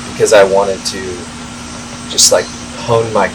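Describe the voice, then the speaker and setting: A man's voice against noticeable background noise. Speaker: podcast host. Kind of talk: casual interview chat. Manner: slow with pauses.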